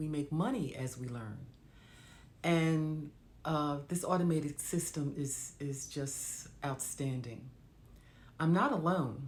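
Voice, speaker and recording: A woman with a very deep, low pitch and a somewhat breathy voice speaks at a very slow pace with long, frequent pauses and ordinary pitch variation. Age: old. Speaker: digital marketer. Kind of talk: casual talk to camera.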